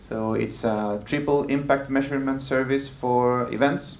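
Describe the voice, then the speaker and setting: The speech moves at a fairly slow pace with fairly even intonation. Noticeable background noise and audible room echo are present. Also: man. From Chile. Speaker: music tech entrepreneur. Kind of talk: panel discussion.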